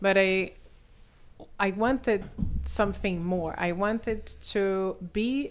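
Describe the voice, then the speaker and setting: In a very clean recording with a silent background, a woman with a Brazilian accent speaks very slowly. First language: Portuguese. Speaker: benefits consultant and parent advocate. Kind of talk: podcast interview.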